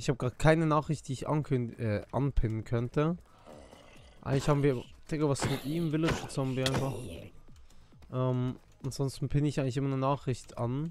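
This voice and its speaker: Fairly quick speech from a man, fairly even in intonation, dry with no echo, over clear music in the background. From Switzerland. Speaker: gaming streamer. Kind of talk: casual live stream chat. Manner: loud.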